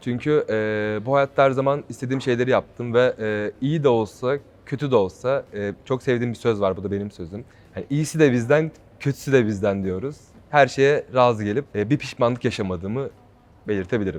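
Ordinary pitch variation and a moderate pace from a man with a medium-pitched voice. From Turkey, Ankara. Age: 20s. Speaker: reality show contestant, model and singer. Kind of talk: interview. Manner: hesitant with frequent fillers.

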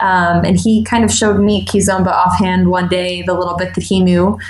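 A woman speaks over noticeable background noise. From New York, US. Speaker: dance instructor. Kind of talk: casual interview.

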